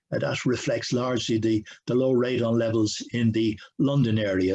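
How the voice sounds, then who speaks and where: Somewhat breathy, the man speaks at a medium pitch. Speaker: professor. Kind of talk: lecture. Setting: video call. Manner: halting, with many fillers; fast.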